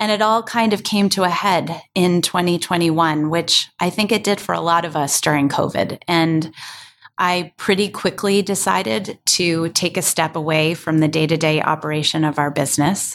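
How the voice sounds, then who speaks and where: A woman speaks at a moderate pace with a fairly low pitch and ordinary pitch variation. She has an ordinary speaking voice with very even loudness. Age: 50s. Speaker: podcast co-host. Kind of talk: casual chat.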